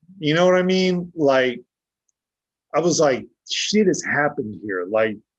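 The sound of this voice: Speaking at a fairly slow pace, a man uses a fairly high pitch and lively intonation.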